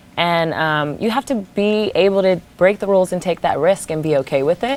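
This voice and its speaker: A woman with a medium-pitched voice talks with lively intonation. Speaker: actress and model. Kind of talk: interview. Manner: slow.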